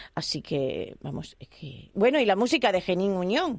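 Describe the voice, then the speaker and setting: A woman speaks with lively intonation at a moderate pace, in a plain, everyday voice. The background is quiet. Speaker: radio host. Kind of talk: radio interview.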